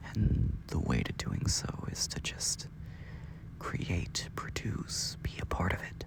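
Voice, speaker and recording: A man whispering at a very slow pace, with noticeable background noise. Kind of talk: late-night sleep ramble, pillow talk. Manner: quiet, sleepy, rambling, yawning.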